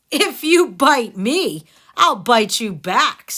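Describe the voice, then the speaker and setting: A woman's high-pitched, put-on character voice with very wide pitch swings at a very slow pace. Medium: read story. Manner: brisk, no-nonsense.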